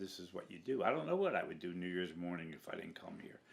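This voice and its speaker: Here a man speaks with an American accent. His pitch swings very wide. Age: 70s. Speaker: mummers club member. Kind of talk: documentary interview.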